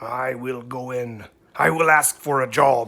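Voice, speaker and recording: Using a put-on character voice, a man speaks fairly slowly in a raspy, medium-pitched tone. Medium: read story.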